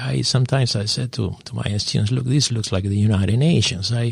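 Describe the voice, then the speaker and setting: The recording is very clean, and the background is silent. A man talks with a non-native accent. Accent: foreign accent, from overseas. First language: not English. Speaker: business professor. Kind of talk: radio interview. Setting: radio studio.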